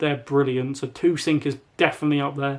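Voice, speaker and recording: Quietly, a man speaks in a British accent. His pace is fairly quick. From UK. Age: young. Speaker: YouTuber and gamer. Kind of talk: casual talk to camera.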